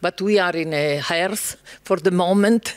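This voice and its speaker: A man speaks at a fairly slow pace in an Italian accent. His pitch sits high. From Italy. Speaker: panel moderator. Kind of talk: panel discussion.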